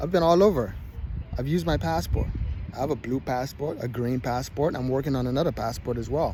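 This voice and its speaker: Audible room echo surrounds a man who talks at a medium pitch with a fairly quick pace and lively intonation. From Nigeria. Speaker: travel and dating vlogger. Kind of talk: walking vlog monologue. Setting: outdoors, walking with handheld camera. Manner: repetitive, stumbling.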